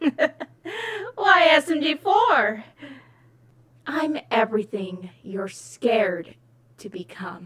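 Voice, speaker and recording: A put-on character voice, high in pitch with very wide pitch swings, at a very slow pace full of long, frequent pauses. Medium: fan dub. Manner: smug, condescending, theatrical.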